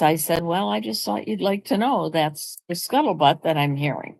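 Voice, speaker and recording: Her voice is fairly low for a woman and carries vocal fry. She speaks at a moderate pace. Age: 80s+. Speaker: vlogger. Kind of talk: casual chat. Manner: conversational.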